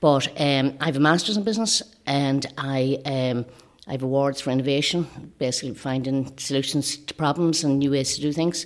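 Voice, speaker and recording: A woman speaks with a north-west Irish accent at a moderate pace. Her pitch is very deep and low. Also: ordinary pitch variation. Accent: Irish (north-west, Leitrim). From Ireland, County Leitrim. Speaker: election candidate. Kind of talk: interview.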